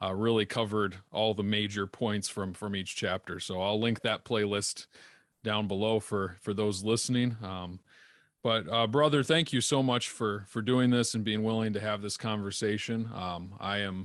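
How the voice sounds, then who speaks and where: With an unremarkable speaking voice, a man talks at a fairly low pitch and a moderate pace, using fairly even intonation over a quiet background. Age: 20s. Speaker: podcast host and deacon. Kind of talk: interview conversation; channel outro.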